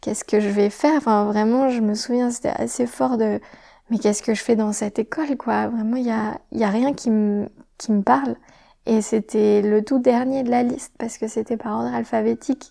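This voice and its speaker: A woman's ordinary speaking voice at a fairly high pitch and a moderate pace. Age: 20s. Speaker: environmental engineer and entrepreneur. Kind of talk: interview. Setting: on location at a shared living site.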